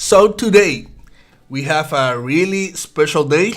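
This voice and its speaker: A man with a Puerto Rican accent at a very slow pace, with ordinary pitch variation. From Puerto Rico (Bayamón). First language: Spanish. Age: 30s. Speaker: day trader. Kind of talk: live trading stream. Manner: halting, repeats words.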